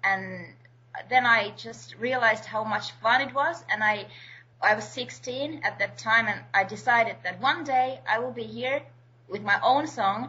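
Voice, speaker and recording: A woman speaks at a fairly slow pace with vocal fry. Her pitch varies in an ordinary way. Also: fairly high pitch for a woman. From Finland. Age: 20s. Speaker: singer-songwriter. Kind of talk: interview.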